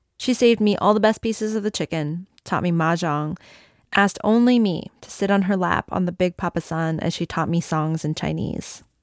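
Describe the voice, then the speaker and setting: On a very clean recording with a silent background, a woman with an American accent uses a normal speaking voice at a moderate pace, her pitch fairly low, with ordinary pitch variation. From United States, moved from Malaysia at three. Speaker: radio reporter and author. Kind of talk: casual interview; personal essay narration and interview.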